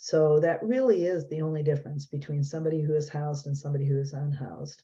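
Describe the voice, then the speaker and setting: Very deep, low female voice, somewhat breathy and dark and mellow in tone, fairly quick in pace, with fairly even intonation. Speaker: nonprofit executive director. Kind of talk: presentation. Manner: fast.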